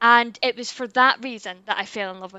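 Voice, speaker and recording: A woman with a Scottish accent talks at a fairly quick pace in a monotone, flat intonation. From Scotland. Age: 30s. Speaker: YouTuber. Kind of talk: casual chat.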